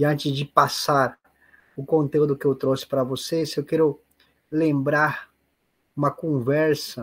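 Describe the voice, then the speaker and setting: Speaking at a very slow pace, a man with a fairly high, somewhat breathy voice holds a monotone, flat intonation. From Peru. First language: Spanish (speaking Portuguese). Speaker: spiritist lecturer. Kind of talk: online seminar talk. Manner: halting.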